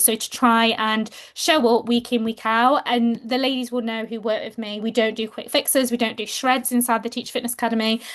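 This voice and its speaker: With an English accent, a woman speaks at a fairly high pitch and a fairly quick pace. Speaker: fitness coach for teachers. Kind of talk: webinar presentation. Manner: fast.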